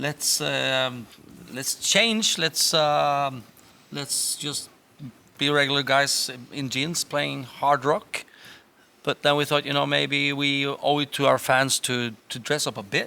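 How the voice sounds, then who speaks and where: Bright and sharp in tone, a man with fairly high pitch and ordinary pitch variation speaks at a very slow pace. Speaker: rock band singer. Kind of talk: casual Q&A chat. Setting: concert stage for a live stream. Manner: halting, many fillers.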